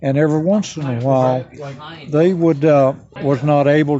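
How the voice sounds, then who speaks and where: Speaking with an American accent, a man talks at a moderate pace in a fairly high pitch with ordinary pitch variation. Background noise is noticeable. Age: 80s+. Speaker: pioneer settlement founder. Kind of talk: interview. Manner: halting.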